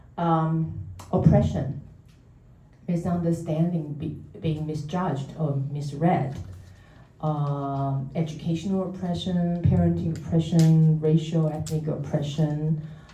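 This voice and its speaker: Very deep, low-pitched woman's voice at a fairly slow pace, fairly even intonation, noticeable background noise and audible room echo. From Taiwan. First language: Mandarin or Taiwanese. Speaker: therapist. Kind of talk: public talk. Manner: halting.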